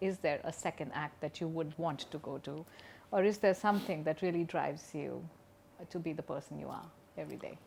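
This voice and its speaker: A woman with a very deep, low pitch and vocal fry talks at a fairly quick pace. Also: ordinary pitch variation. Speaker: podcast host. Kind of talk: interview. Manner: animated.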